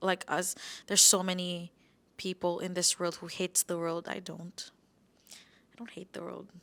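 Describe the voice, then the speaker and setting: On a very clean recording with a silent background, a woman with a fairly low pitch talks at a moderate pace in a monotone, flat way, her loudness swinging widely between long, frequent pauses. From Philippines, Davao. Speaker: content creator. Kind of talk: casual interview chat.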